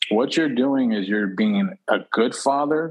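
With an ordinary speaking voice and an American accent, a man talks at a moderate pace with lively intonation. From Texas, Houston. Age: 30s. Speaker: real estate investor. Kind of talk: casual chat.

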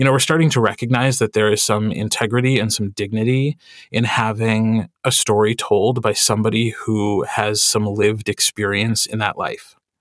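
An unremarkable speaking voice from a man with an American accent: medium pitch, fairly even intonation, moderate pace, hardly any pauses, dry, close sound with no echo, on a very clean recording with a silent background. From Wisconsin, US Midwest. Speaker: audiobook narrator. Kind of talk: interview conversation.

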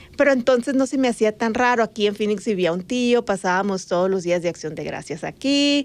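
Animated in tone, a woman with a northern Mexican accent speaks at a fairly high pitch and a moderate pace, with ordinary pitch variation. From Sonora, Mexico (Magdalena, near Nogales border). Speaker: podcast co-host and journalist. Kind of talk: casual chat.

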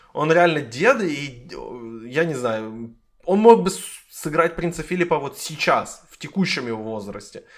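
On a very clean recording with a silent background, a man with a fairly high pitch speaks with lively intonation. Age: 20s. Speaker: podcast host. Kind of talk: casual chat.

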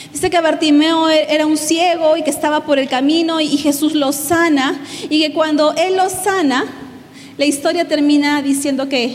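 Audible room echo and noticeable background noise around fairly slow speech. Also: woman. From Peru. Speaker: pastor and guest speaker. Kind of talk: sermon.

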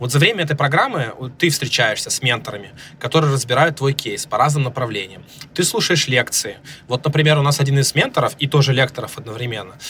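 Noticeable background noise runs under a man speaking very fast in a fairly high voice with ordinary pitch variation. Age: 30s. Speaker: startup founder. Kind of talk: interview. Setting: remote recording.

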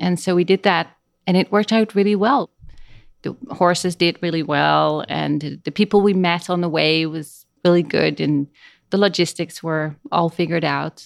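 Speaking at a moderate pace with ordinary pitch variation and a Dutch accent, the voice sounds dry and close with no echo on a very clean recording against a silent background. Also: woman, fairly low pitch for a woman. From Netherlands. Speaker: speech language pathologist and trek guide. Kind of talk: casual interview.

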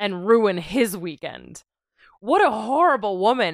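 A woman with an ordinary speaking voice at medium pitch, lively intonation and a fairly slow pace, on a very clean recording with a silent background. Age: 30s. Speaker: podcast co-host, lawyer. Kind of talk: casual chat.

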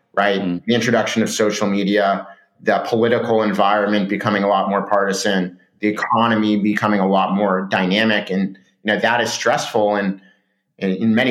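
A man speaks in a Californian accent with a fairly low pitch. His delivery is monotone and flat, at a fairly quick pace. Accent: Californian American. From Southern California. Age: 30s. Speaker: startup founder and CEO. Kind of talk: interview.

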